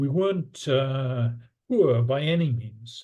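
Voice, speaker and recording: Somewhat breathy and dark, mellow in tone, the man's fairly high voice shows ordinary pitch variation. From northern England, Newcastle upon Tyne. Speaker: economics professor. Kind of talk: interview.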